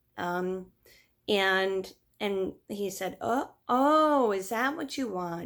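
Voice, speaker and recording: A medium-pitched woman's voice with very wide pitch swings, on a very clean recording with a silent background. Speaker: video blogger. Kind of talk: personal story vlog. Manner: hesitant, many fillers.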